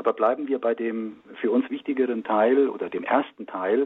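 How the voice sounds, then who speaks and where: This man's delivery is fairly slow. He takes his time with each phrase. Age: 60s. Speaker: engineer and marriage communication trainer. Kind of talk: radio interview. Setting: remote line into radio studio.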